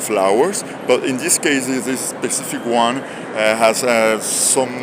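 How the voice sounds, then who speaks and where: At a fairly slow pace with ordinary pitch variation, the speech carries audible room echo and noticeable background noise. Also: man, medium pitch for a man. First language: Spanish. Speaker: video blogger interpreting for a vendor. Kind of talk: on-the-spot interpreting in a showroom. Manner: halting, many fillers.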